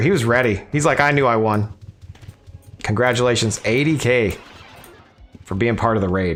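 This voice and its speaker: Over music in the background, the voice has lively intonation, a moderate pace, and long, frequent pauses. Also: man. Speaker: gaming livestreamer. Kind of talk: casual livestream chat. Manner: animated.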